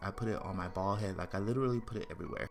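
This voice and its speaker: A man's fairly low voice in an animated tone, with music in the background. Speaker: makeup YouTuber. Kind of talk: makeup tutorial. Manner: fast.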